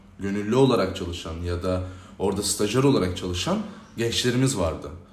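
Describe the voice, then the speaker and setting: Audible room echo hangs around the voice. It belongs to a man speaking at a moderate pace with ordinary pitch variation. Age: 20s. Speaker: youth organization president. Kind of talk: interview. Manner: hesitant with frequent filler sounds.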